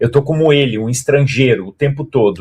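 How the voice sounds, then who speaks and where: This man has a fairly high pitch and a somewhat breathy sound. He talks at a fairly quick pace. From Brazil. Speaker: stage actor. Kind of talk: interview.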